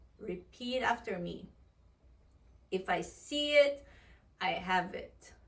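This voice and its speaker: With lively intonation and a somewhat breathy, fairly high voice, a woman speaks at a very slow pace, leaving long, frequent pauses and swinging widely in loudness. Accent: Portuguese. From Portugal. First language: Portuguese. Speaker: vlogger. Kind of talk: casual vlog monologue. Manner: animated.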